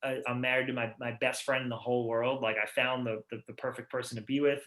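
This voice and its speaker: A man with a Massachusetts accent, medium pitch, a monotone, flat delivery and a very fast pace. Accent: Massachusetts accent, noticeable. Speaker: rock band musician. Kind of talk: casual interview chat. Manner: fast, halting with repetitions.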